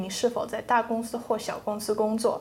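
Her voice is fairly high-pitched for a woman, yet dark and mellow in tone. Audible room echo carries it. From England. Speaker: economics student. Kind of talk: classroom discussion. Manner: hesitant with fillers.

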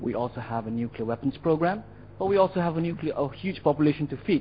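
A man talks fairly quickly. His voice is somewhat breathy. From India. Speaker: audience member asking question. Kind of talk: audience question. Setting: lecture hall with audience.

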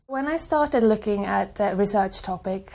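This woman has a Swedish accent. Her pitch sits in the medium range. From Sweden. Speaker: graduate student. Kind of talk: testimonial interview.

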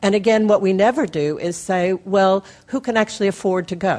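A woman with an unremarkable speaking voice and a medium pitch speaks at a moderate pace. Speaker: audience member. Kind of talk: audience question. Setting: audience with wandering mic.

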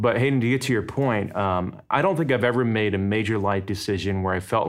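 On a very clean recording with a silent background, a man with a normal speaking voice and fairly low pitch talks at a fairly quick pace. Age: 40s. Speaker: missiologist and pastor. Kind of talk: casual chat.

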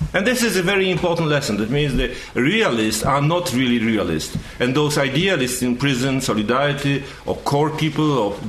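A man with a Polish accent speaks at a medium pitch and moderate pace with lively intonation, amid noticeable background noise and audible room echo. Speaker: journalist and former dissident. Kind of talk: panel talk.

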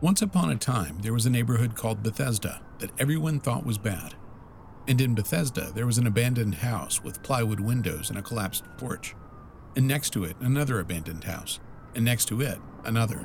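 Over noticeable background noise, a man with a medium-pitched voice talks at a fairly quick pace with lively intonation. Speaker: narrator. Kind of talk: scripted narration.

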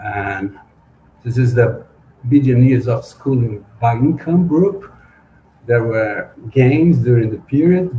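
The voice moves at a fairly slow pace, somewhat breathy and dark and mellow in tone, with ordinary pitch variation. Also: man. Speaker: sociology professor. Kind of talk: academic presentation. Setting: video call.

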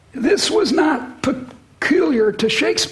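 Noticeable background noise is present. Over it, a woman speaks. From US (Midwest / Boston). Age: 70s. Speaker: economics professor. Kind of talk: public interview with audience Q&A. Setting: stage with audience. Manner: halting, repeats words.

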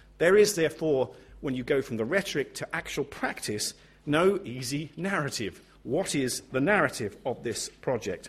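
A man with a fairly high, somewhat breathy voice speaks at a moderate pace with lively intonation. The recording is very clean, with a silent background. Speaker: panel chair and professor. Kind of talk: panel moderation. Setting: conference stage. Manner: hesitant, humorous.

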